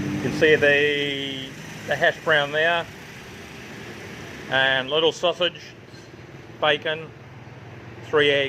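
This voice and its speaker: Against noticeable background noise, a man with a fairly high pitch talks very slowly in fairly even intonation, leaving long, frequent pauses. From New Zealand and Australia. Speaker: travel vlogger. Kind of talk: casual vlog walkthrough. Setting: outdoor restaurant.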